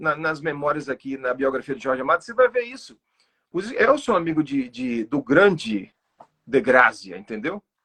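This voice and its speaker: Delivered at a moderate pace with lively intonation, the voice has a dry, close sound with no echo. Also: man. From Sertão of Bahia, Brazil. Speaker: poet. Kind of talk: online interview. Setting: livestream. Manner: halting, with fillers.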